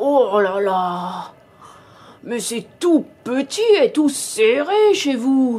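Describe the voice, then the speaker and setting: In a put-on character voice, a female-sounding speaker uses a high pitch at a very slow pace with long, frequent pauses. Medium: read story. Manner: sly, greedy.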